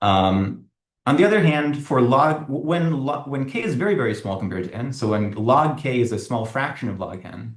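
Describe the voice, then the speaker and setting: At a medium pitch, a man speaks with lively intonation in a somewhat breathy voice. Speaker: academic researcher. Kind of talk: lecture. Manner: fast.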